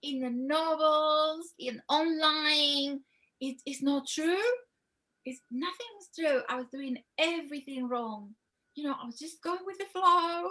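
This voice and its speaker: A woman's raised, projected voice, high in pitch with a bright, sharp tone, in a Spanish accent, fairly slow, with ordinary pitch variation and big swings in loudness. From Spain. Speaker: love coach. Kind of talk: interview.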